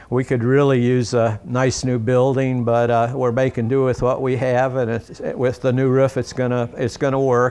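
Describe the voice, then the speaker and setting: Speaking at a moderate pace with a North Carolina accent, a man delivers his words at a medium pitch in a flat monotone. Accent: Southern US (North Carolina). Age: 70s. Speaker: local business owner. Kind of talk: interview. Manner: halting, many fillers and repeats.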